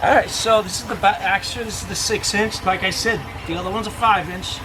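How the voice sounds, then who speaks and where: A man's high-pitched voice comes through with audible room echo and noticeable background noise. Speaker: boat repair DIY reviewer. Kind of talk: casual product review tutorial. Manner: halting, many fillers and repeats.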